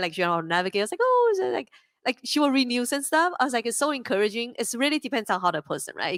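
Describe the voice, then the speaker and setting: A woman talks at a very fast pace in a bubbly, animated tone. Her fairly high pitch swings very widely, with a dry, close sound and no echo. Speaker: crypto company co-founder and CEO. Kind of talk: panel discussion.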